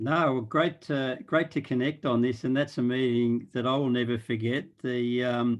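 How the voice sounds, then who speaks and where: A man with an Australian accent, medium in pitch, at a moderate pace with hardly any pauses, very even loudness and fairly even intonation. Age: 60s. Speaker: impact investor and board chair. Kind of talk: panel discussion.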